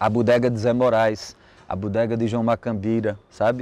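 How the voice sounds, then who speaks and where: At a moderate pace, a man speaks in a dark, mellow tone, the sound dry with no echo. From São José do Egito, Pernambuco, Brazil; Pernambuco, Brazil. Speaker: poet and musician; poet. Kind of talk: interview testimony. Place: street. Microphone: lapel.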